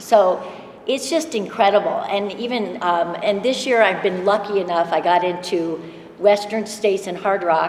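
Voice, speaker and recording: Amid noticeable background noise and audible room echo, a woman talks at a moderate pace with a medium pitch and ordinary pitch variation. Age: 60s. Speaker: ultrarunner. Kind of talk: panel introduction. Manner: halting.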